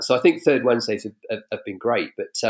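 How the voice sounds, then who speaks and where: A man with an English accent against a quiet background. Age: 40s. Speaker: political commentator. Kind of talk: casual chat. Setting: video call.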